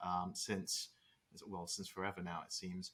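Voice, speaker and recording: A man with a British accent, bright and sharp in tone, on a very clean recording with a silent background. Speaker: startup co-founder. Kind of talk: interview.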